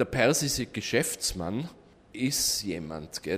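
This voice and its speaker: A very slow male voice at medium pitch, with very wide pitch swings. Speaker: tour operator. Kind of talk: interview.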